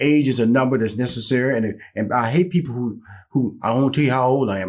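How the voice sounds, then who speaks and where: With a plain, everyday voice, a man speaks at a medium pitch. His pace is fairly quick and his intonation lively. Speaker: talk show host. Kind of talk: interview.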